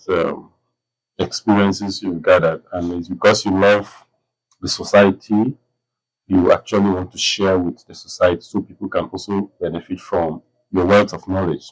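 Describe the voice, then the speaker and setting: A man's fairly low voice at a moderate pace, with ordinary pitch variation, big swings in loudness, and long, frequent pauses. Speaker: interviewer, cultural preservation head. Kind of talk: interview questions. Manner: respectful, polite.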